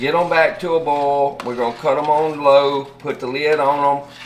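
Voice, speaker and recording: Over noticeable background noise, a man with a Southern US accent speaks at a moderate pace with fairly even intonation. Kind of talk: casual cooking video talk to camera.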